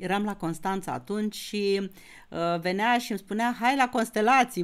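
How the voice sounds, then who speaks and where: This woman speaks at a fairly high pitch with ordinary pitch variation. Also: quiet background. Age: 60s. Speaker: astrologer. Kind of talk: astrology lecture video; casual vlog chat. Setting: YouTube video recording. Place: home room.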